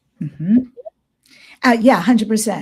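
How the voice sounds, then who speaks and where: Somewhat breathy speech with an American accent. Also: woman. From New York. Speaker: podcast host, ET contactee and shamanic healer. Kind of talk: interview.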